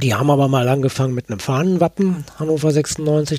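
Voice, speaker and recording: A man talks in a dark, mellow tone at a fairly high pitch. His intonation stays fairly even. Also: dry, close sound with no echo. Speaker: author. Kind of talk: interview. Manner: halting.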